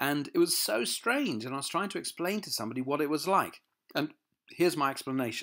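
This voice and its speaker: A man's fairly high, bright and sharp voice with a southern English accent and lively intonation, in a very clean recording with a silent background. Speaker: motivational speaker. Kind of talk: personal testimony. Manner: halting, repeats words.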